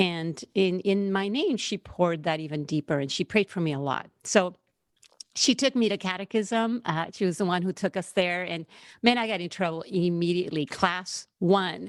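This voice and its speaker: Speaking with a Puerto Rican accent, a woman of medium pitch keeps a moderate pace and ordinary pitch variation. The recording is very clean, dry and close, with no echo and a silent background. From Puerto Rico. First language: Spanish. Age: 40s. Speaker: seminary student. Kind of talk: podcast interview, personal testimony.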